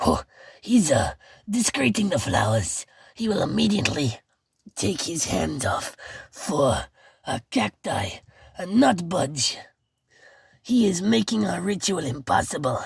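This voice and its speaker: A woman puts on a character voice that is raspy and fairly low. She talks at a fairly slow pace with long, frequent pauses. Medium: read story. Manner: pompous, zealous.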